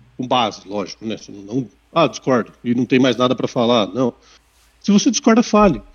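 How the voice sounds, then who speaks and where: A man with a plain, everyday voice and a medium pitch talks at a moderate pace. His intonation is lively. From Sorocaba, São Paulo state, Brazil. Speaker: operations manager. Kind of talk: interview.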